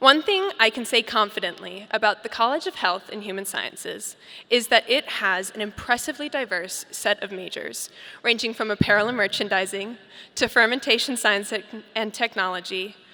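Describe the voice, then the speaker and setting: Bright and sharp in tone, a woman with an American accent talks at a moderate pace and fairly high pitch, with ordinary pitch variation and big swings in loudness. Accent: slight British slips in. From Colorado, Boulder. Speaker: graduating student speaker. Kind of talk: commencement speech. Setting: stage with audience. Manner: formal.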